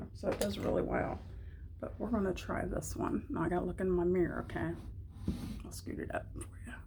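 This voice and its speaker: The speech comes at a very fast pace, with audible room echo. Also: woman. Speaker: beauty vlogger. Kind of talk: casual chat. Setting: at home. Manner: quiet.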